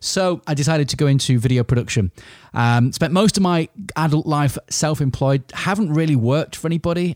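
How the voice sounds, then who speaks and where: A man with an English accent speaks at a fairly quick pace in a dark, mellow tone. The recording is very clean, with a silent background. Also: dry, close sound with no echo. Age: 40s. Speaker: business owner podcaster. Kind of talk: solo podcast monologue. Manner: informal.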